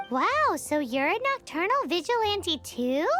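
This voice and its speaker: Over clear background music, a put-on character voice at an extremely high pitch swings very widely in pitch at a fairly slow pace. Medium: game stream. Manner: excitable, blunt.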